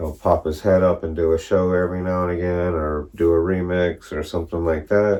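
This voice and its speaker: With a very deep, low pitch, a man talks at a fairly quick pace in a monotone, flat intonation with hardly any pauses. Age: 40s. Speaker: DJ. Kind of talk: casual video monologue. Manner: casual, rambling with fillers.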